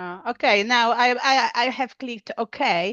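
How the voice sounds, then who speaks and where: Speaking with a Polish accent, a woman uses a high pitch. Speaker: English learner, clinical trials worker. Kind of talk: language lesson. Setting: video call. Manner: halting.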